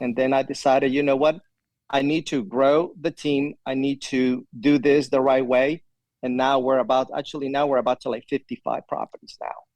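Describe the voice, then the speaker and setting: Speaking in a Spanish accent, a man uses a fairly high pitch and monotone, flat intonation. The sound is dry and close, with no echo. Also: moderate pace. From Ecuador. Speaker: property manager, army veteran. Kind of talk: interview answer.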